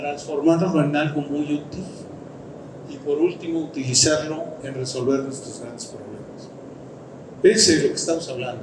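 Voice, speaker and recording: Speaking at a moderate pace with long, frequent pauses, a man uses a fairly high pitch and fairly even intonation, with big swings in loudness. Audible room echo and noticeable background noise come through. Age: 60s. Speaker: engineer and company director. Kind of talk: conference talk. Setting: stage with audience. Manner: halting, with false starts.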